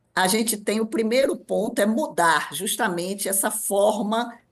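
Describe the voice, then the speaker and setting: In an ordinary speaking voice, a woman of medium pitch talks at a moderate pace with lively intonation over a quiet background. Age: 60s. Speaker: ageing specialist. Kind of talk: radio interview.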